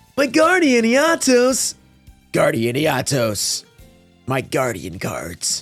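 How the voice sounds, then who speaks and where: Over music in the background, a raspy put-on character voice at middle pitch talks at a very slow pace with long, frequent pauses. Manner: putting on a voice.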